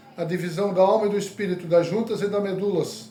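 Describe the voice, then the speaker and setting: The intonation is monotone and flat. Noticeable background noise and audible room echo fill the clip. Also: man. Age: 60s. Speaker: evangelist. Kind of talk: sermon.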